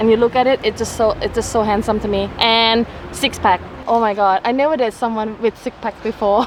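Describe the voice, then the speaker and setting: Amid noticeable background noise, a woman with a Thai accent speaks fairly quickly in a fairly high pitch with monotone, flat intonation. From Thailand. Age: 20s. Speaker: travel vlogger. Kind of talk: casual chat. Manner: halting.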